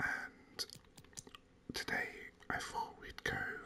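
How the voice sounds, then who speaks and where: Whispering at a very slow pace in a calm tone, over noticeable background noise. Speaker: gaming ASMR content creator. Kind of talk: whispered gaming commentary. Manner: whispered, calm.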